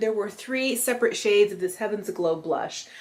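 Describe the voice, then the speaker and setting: A normal speaking voice. The pace is fairly quick. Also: woman. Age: 40s. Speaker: beauty vlogger. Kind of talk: makeup tutorial. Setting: at a friend's house, natural light. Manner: casual, chatty.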